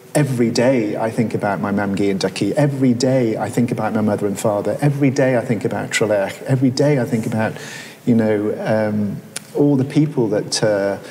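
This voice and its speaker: Noticeable background noise and audible room echo surround a man with a Welsh accent who talks at a fairly quick pace, his medium pitch showing ordinary variation. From Wales, Carmarthenshire. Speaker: surgeon. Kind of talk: public conversation on stage. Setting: museum gallery with audience. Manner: halting, with many repetitions.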